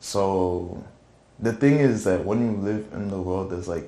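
A man with a dark, mellow tone and fairly low pitch talks at a moderate pace with fairly even intonation, with audible room echo. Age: 20s. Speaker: church youth praise team drummer. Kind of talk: testimony; casual interview. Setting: studio. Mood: relaxed, reflective. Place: studio.

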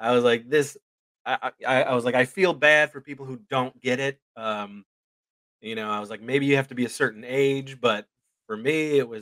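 Bright, sharp tone from a man at a medium pitch, moderate pace and fairly even intonation, with a quiet background. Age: 40s. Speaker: indie film writer and director. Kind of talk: casual chat. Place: home room. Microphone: studio mic.

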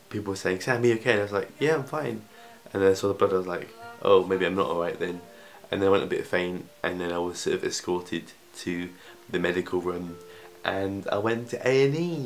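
A man speaks at a fairly quick pace in a fairly low voice with ordinary pitch variation. Faint music plays in the background. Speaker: vlogger. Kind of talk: casual vlog chat. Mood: lively, joking storytelling. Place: home room. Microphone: phone near.

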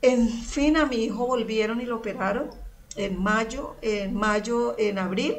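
A woman at a fairly slow pace with ordinary pitch variation, over light background noise. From Colombia, Girardot (Cundinamarca); Colombia. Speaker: churchgoer giving testimony; guest. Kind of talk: testimony. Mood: emotional, recounting hardship. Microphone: video call.

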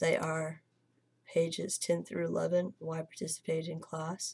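The voice is a woman's. It sounds somewhat breathy. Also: dry, close sound with no echo. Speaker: college student. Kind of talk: screen-recorded software tutorial.

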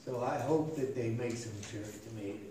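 A man's pitch swings very widely amid audible room echo and light background noise. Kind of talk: casual announcements to a congregation. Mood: warm, chatty. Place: church. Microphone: podium.

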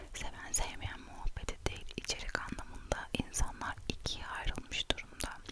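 Noticeable background noise is present. Over it, the speaker whispers. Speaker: ASMR creator. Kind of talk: whispered chat to camera. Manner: whispered, soft-spoken.

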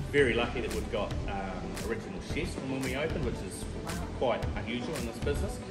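A man talks fairly quickly, with clear music in the background. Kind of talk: interview answer. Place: bar. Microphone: camera far.

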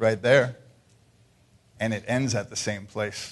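With fairly even intonation, a man delivers his words at a very slow pace. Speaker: lay preacher, biker ministry member; lay preacher. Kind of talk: sermon. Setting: church service. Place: church.

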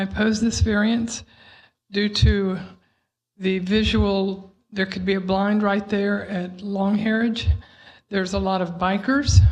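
Slow and somewhat breathy, a woman talks with long, frequent pauses at a fairly slow pace. Her intonation stays monotone and flat, and room echo is audible. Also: medium pitch for a woman. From Pearland, Texas. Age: 60s. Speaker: resident speaking at public hearing. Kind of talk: public comment at city board hearing. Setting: city board meeting.

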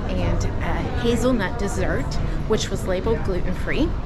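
Music plays in the background. The speaking pace is moderate. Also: woman. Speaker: travel vlogger. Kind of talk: casual vlog chat. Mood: cheerful, excited. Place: cafe. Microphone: phone near.

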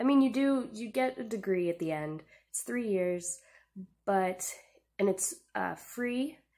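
A woman's dark, mellow voice, fairly slow, with lively intonation and long, frequent pauses. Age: 20s. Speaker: book vlogger. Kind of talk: casual book review monologue. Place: home room. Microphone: poor audio quality; webcam.

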